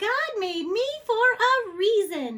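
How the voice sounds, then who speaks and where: A woman puts on a character voice at an extremely high pitch. It comes out squeaky. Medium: read story. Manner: cheerful, eager.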